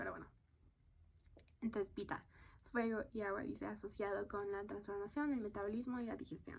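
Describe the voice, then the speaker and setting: Fairly high pitch from a woman, somewhat breathy, with fairly even intonation. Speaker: content creator. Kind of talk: casual podcast-style monologue.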